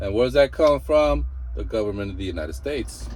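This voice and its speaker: In an animated tone, a man with a Mexican accent speaks in a somewhat breathy voice at a very deep, low pitch. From Mexico. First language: Spanish. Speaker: truck driver and vlogger. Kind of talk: casual reaction commentary.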